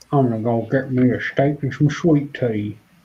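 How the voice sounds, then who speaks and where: A man puts on a drawling character voice at medium pitch. He talks at a moderate pace. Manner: drawling, put-on.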